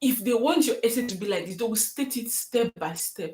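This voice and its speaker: Her fairly high-pitched voice is somewhat breathy, and this woman uses lively intonation. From Nigeria. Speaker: student YouTuber. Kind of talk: live stream Q&A. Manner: fast.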